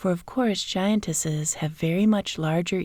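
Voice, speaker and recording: Soft-spoken, a woman talks at a moderate pace with fairly even intonation on a very clean recording with a silent background. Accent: American. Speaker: relaxation coach. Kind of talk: sleep story. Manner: soft-spoken, relaxing.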